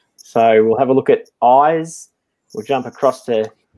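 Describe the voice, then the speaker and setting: This man's delivery is fairly slow, with fairly even intonation. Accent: Australian. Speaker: live stream host. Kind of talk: casual chat.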